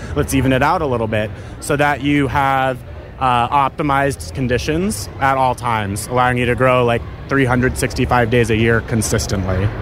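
A man speaks at a moderate pace and a medium pitch, his loudness very even and his pitch varying in an ordinary way, with music playing in the background. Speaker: agtech company marketer. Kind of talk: interview.

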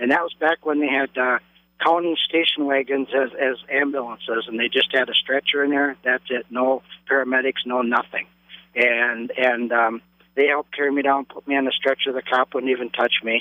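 A man with an American accent speaks at a medium pitch. His pace is moderate and his intonation monotone and flat. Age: 60s. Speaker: caller. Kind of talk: personal story on call-in radio. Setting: phone call.

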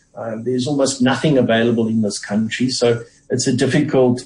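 A man's somewhat breathy voice at a medium pitch and a fairly quick pace. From South Africa. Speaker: economist. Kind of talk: radio interview.

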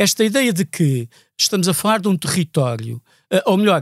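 Heard at a moderate pace, the voice has a dry, close sound with no echo on a very clean recording with a silent background. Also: man. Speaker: activist for Palestinian rights. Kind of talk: podcast interview. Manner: repetitive, hesitant.

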